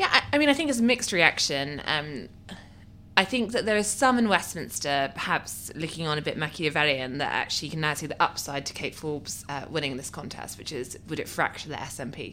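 A woman with a very deep, low voice talks at a fairly quick clip, her bright, sharp tone riding lively intonation and big swings in loudness. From Scotland, Aberdeen. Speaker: political journalist. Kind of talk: casual chat.

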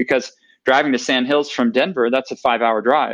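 A man is talking here at a fairly quick pace. He speaks with an American accent. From US, Oregon. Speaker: golf traveller. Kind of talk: casual interview. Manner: halting with fillers.

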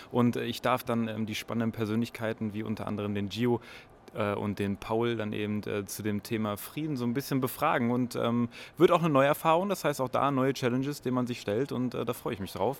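Using an unremarkable speaking voice, the speaker moves at a fairly quick pace with ordinary pitch variation. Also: man, medium pitch for a man. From northern Germany. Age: 20s. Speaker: podcaster. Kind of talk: casual chat. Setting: subway station and train.

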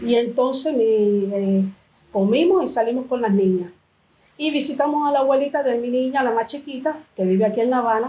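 A high-pitched woman's voice with a dark, mellow tone and ordinary pitch variation. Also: moderate pace, very even loudness. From Cuba. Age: 50s. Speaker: church member. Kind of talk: testimony. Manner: halting.

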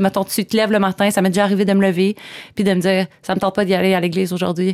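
Her medium-pitched voice stays monotone and flat as a woman speaks in a dry, close sound with no echo. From Quebec, Coaticook (Eastern Townships). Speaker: law graduate, church member. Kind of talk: casual interview. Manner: hesitant, many fillers.

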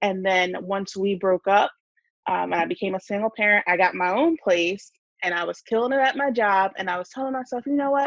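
A woman speaks in a plain, everyday voice at a medium pitch, with an American accent and lively intonation. Her pace is fairly quick, and the sound is dry and close with no echo. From New Jersey. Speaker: personal finance content creator. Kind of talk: casual chat.

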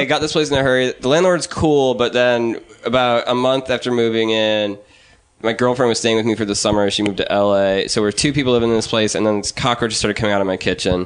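A man speaks very fast at a medium pitch with ordinary pitch variation and very even loudness. Noticeable background noise runs underneath. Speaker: sound engineer.

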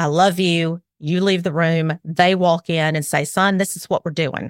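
A woman's fairly low voice in a Southern US accent, fairly slow and fairly even in intonation, with a dry, close sound and no echo. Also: very clean recording, silent background. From Alabama. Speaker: parenting expert and former attorney. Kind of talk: casual interview conversation.

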